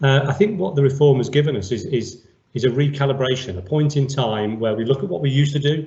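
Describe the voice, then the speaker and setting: Somewhat breathy and with ordinary pitch variation, a man with a fairly high pitch speaks at a very fast pace amid audible room echo. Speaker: senior police officer. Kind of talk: interview. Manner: formal.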